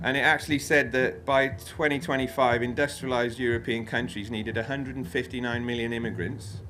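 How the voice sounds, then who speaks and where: A man with a Welsh accent at a fairly quick pace, with audible room echo. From Wales. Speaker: freeman activist speaker. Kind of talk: talk with slides. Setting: festival stage with audience. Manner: informal, many fillers and repetitions.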